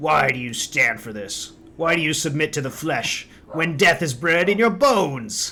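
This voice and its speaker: This man uses a put-on character voice, fairly high in pitch and raised and projected. His pitch swings very widely and his loudness shifts in big jumps at a moderate pace. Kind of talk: theatrical. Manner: dramatic, menacing.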